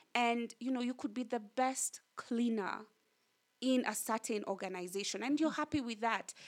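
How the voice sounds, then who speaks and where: In a Kenyan accent, a woman speaks at a moderate pace with a fairly high pitch and ordinary pitch variation. The recording is very clean, with a silent background. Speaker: communications director and author. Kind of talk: casual interview. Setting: her home.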